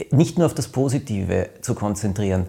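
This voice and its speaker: A man's somewhat breathy voice with lively intonation at a moderate pace. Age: 50s. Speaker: podcast host, author. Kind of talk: casual chat.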